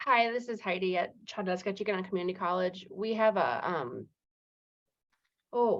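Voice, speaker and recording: A woman speaks at a medium pitch and moderate pace, with vocal fry and ordinary pitch variation. She leaves long, frequent pauses. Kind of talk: listening session discussion. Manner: halting, many fillers.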